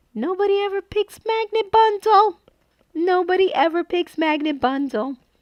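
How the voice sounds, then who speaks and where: A woman speaks in an animated tone. Her pace is fairly slow. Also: dry, close sound with no echo. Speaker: papercraft livestream host. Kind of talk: live stream chat.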